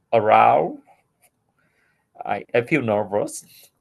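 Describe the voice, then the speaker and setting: Speaking at a very slow pace, a man talks with a Vietnamese accent. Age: 40s. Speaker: English learner. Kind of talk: casual chat. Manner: halting.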